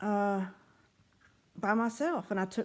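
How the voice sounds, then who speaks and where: With a Southern US accent, a woman speaks at a very slow pace and with fairly even intonation. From US South. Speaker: writer and former pharmacist. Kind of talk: reading aloud her own writings; casual vlog talk. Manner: casual, with fillers.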